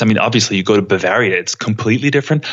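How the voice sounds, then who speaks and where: The intonation is lively. It belongs to a man. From Germany, partly raised in the US. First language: German. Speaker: airline pilot. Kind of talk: podcast interview.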